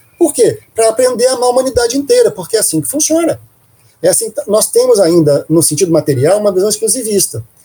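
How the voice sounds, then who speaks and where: A man's high-pitched voice, dark and mellow in tone, at a very fast pace with very wide pitch swings. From Brazil, Minas Gerais. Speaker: spiritist family ministry coordinator. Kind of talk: interview. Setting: studio. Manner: animated.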